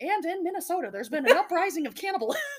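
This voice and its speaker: A woman's put-on character voice, extremely high in pitch and very fast. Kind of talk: formal broadcast delivery.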